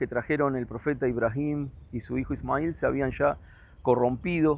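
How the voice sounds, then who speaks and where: This man has a normal speaking voice, fairly high in pitch, with ordinary pitch variation. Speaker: religious teacher. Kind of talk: lecture.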